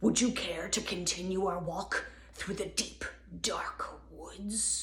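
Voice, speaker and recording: Using a put-on character voice, a man growls. His pace is fairly slow. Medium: read story. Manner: smooth, courteous.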